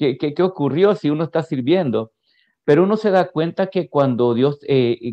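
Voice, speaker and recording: A man is speaking. His intonation is lively. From El Salvador, San Vicente. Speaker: pastor. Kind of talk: testimony. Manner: halting.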